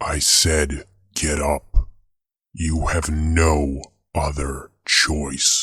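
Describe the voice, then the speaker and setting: A man puts on a character voice with a very deep, low pitch and monotone, flat intonation. He talks at a very slow pace, leaving long, frequent pauses. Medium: read story. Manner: menacing, cold, taunting.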